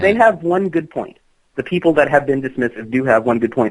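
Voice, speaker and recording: A fairly high-pitched man with an American accent and lively intonation. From South Louisiana, United States. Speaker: folklorist and practitioner of witchcraft. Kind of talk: interview answer.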